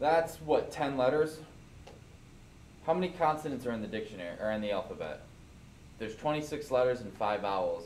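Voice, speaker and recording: Audible room echo carries a man's medium-pitched voice as he talks at a fairly quick pace with lively intonation and long, frequent pauses. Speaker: programming teacher. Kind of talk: classroom lecture. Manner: casual.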